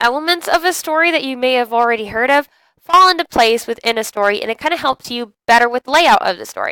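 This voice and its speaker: A woman speaks at a fairly quick pace in a high, bright, sharp voice, recorded very cleanly against a silent background with a dry, close sound and no echo. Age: adult. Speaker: teacher. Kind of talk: lecture. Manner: casual, many fillers.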